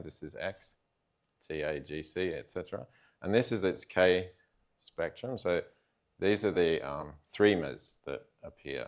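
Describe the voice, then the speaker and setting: Over a quiet background, a man with an Australian accent speaks in a very deep, low pitch with vocal fry and lively intonation. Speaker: computer science researcher. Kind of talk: lecture. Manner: many fillers, hesitant.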